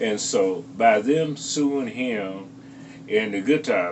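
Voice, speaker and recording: A man's voice over noticeable background noise. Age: 70s. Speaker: guitarist. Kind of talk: interview. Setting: on location interview.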